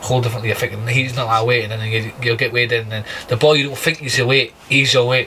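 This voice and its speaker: A man delivers his words fairly quickly in a monotone, flat intonation while noticeable background noise carries on. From Scotland, Aberdeen. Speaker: professional boxer. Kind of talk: podcast interview. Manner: halting, many fillers.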